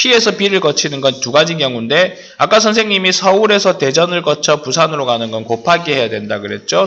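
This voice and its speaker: A man's fairly high voice swings very widely in pitch while keeping a moderate pace. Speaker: math teacher. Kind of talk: lecture.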